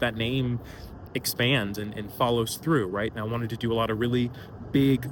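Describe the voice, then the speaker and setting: A man with an American accent has an ordinary speaking voice at a medium pitch. He talks at a moderate pace with ordinary pitch variation. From Atlanta, Georgia, US. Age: 20s. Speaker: career content creator, entrepreneur. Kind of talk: casual talk to camera.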